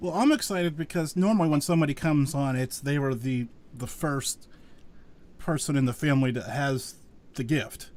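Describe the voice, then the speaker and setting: An unremarkable speaking voice from a man with an American accent, fairly high pitch, ordinary pitch variation and a fairly quick pace. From western Pennsylvania. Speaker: podcast host. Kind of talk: interview conversation. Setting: live virtual show.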